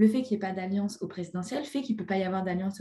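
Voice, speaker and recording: A woman speaks at a medium pitch in a dark, mellow, somewhat breathy tone. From France, Ain. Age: 20s. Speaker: teacher. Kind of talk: casual chat.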